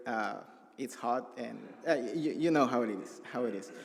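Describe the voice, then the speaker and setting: A man talks at a moderate pace. His medium-pitched voice carries a Salvadoran accent. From El Salvador. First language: Spanish. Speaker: refugee. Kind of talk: testimony. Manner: halting.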